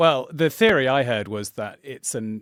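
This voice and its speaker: A man with a southern English accent at a fairly slow pace, on a very clean recording with a silent background. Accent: posh southern English (RP-like). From England, Suffolk. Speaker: channel host, game master. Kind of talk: casual chat.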